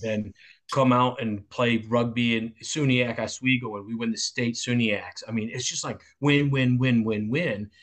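This man's pitch sits in the medium range. He talks at a moderate pace. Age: 50s. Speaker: football coach. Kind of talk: casual interview chat. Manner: animated.

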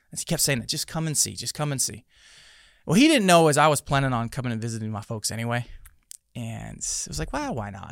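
A man talking very fast on a very clean recording with a silent background. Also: medium pitch for a man, lively intonation. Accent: American. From Tucson, Arizona, US. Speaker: pastor, former police officer. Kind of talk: interview conversation.

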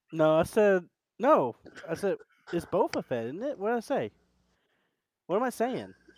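This man's pitch is high and swings very widely. He keeps a moderate pace with long, frequent pauses. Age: 20s. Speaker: podcast co-host. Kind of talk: casual chat.

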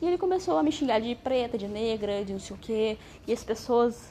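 This woman has a plain, everyday voice, fairly high in pitch, with lively intonation. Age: 20s. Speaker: vlogger. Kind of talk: personal testimony monologue.

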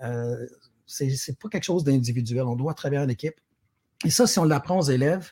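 A man talks at a very fast pace with a Quebec accent. His fairly high voice is somewhat breathy, with a dry, close sound and no echo. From Quebec, Sherbrooke. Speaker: award-winning teacher. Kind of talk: interview. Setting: pre-recorded remote interview.

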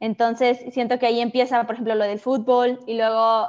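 A woman talks at a high pitch in a quiet background. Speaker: entrepreneur and architecture student. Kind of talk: interview.

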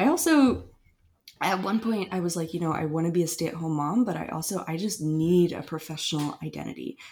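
Using a plain, everyday voice, a woman talks at a fairly quick pace, fairly low in pitch with ordinary pitch variation. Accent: American. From Asheville, North Carolina. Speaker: podcast co-host, photographer. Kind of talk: casual chat.

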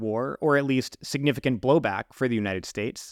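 On a very clean recording with a silent background, a man with a normal speaking voice talks at a fairly quick pace with ordinary pitch variation. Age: 40s. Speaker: podcast host. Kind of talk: political interview; scripted narration.

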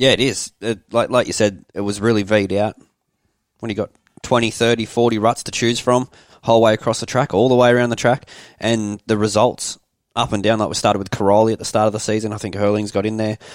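In an Australian accent, the speaker talks very fast in a monotone, flat intonation, with a dry, close sound and no echo. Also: man, fairly low pitch for a man. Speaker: podcast co-host, motorbike rider. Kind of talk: casual chat.

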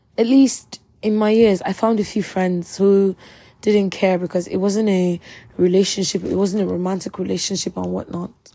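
At a moderate pace, a woman talks in a medium pitch with a dark, mellow tone and monotone, flat intonation. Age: 20s. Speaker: podcaster. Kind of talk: personal monologue.

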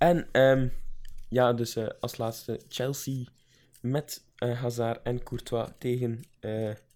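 His tone is dark and mellow, at a medium pitch. The man speaks at a very slow pace. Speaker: podcast co-host. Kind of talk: casual chat.

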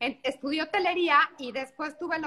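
A woman's raised, projected voice, high in pitch with a bright, sharp tone, at a moderate pace. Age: 40s. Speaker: pastry chef and TV cook. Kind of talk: casual cooking demonstration chat. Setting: video call from a beach house.

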